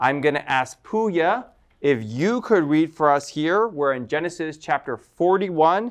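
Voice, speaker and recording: Against a quiet background, a man with a plain, everyday voice talks at a fairly slow pace, his fairly high pitch carried by lively intonation. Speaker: Bible study teacher. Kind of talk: Bible study discussion. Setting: studio.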